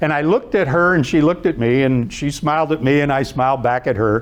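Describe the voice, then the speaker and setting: Someone with an Ohio accent speaks at a fairly quick pace. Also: man. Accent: Midwestern American (Ohio). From Youngstown, Ohio. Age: 70s. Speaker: motivational speaker and author. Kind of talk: inspirational talk with stories. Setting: stage with live audience.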